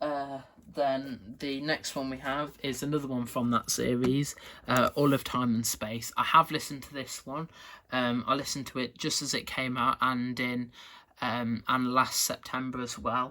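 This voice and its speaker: A man speaks in a bright, sharp tone. His intonation is monotone and flat. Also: medium pitch for a man, moderate pace, very clean recording, silent background. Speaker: video creator showing collection. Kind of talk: casual show-and-tell vlog. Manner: halting, many fillers and repetitions.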